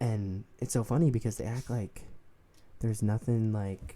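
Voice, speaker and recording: Soft-spoken and relaxed in tone, the voice is dark and mellow at a fairly slow pace. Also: man. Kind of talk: soft-spoken ASMR book discussion to camera. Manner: soft-spoken, relaxed.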